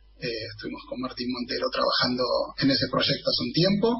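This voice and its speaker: A man talks at a moderate speed. There is noticeable noise in the background. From Argentina, northern Greater Buenos Aires. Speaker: football supporters' club representative. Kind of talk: radio interview. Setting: video call.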